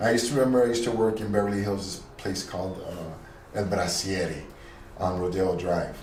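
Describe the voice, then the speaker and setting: Over noticeable background noise and audible room echo, a man speaks at a fairly quick pace in a fairly low pitch with ordinary pitch variation. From Los Angeles, Koreatown. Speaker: graffiti artist. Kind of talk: interview.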